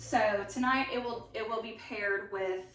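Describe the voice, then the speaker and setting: Ordinary pitch variation amid audible room echo and noticeable background noise. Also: woman. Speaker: home cook sharing recipes. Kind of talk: casual cooking tutorial. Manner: casual, many fillers.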